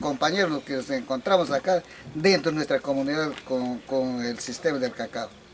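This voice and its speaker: Over noticeable background noise, a man talks in a fairly high pitch with lively intonation. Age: 70s. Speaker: fisherman turned cacao farmer. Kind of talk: interview.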